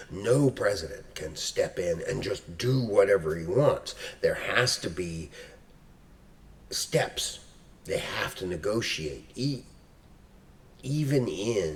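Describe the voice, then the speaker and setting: A man speaking at a very slow pace. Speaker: history professor. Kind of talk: casual talk to camera.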